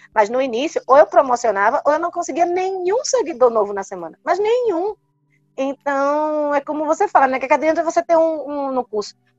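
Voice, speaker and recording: Dry and close with no echo, a woman speaks at a fairly quick pace. Her high voice moves in very wide pitch swings. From Brazil, Recife. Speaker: neurologist. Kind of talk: interview.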